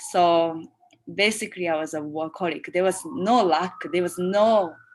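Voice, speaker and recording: At a moderate pace, a woman with a fairly low voice speaks with ordinary pitch variation. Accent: non-native. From Japan. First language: Japanese. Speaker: choreographer. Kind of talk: interview. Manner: halting.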